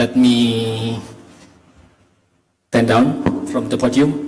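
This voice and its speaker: There is audible room echo as a man speaks at a medium pitch with an Indonesian accent. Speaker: history education lecturer. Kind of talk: conference talk. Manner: halting.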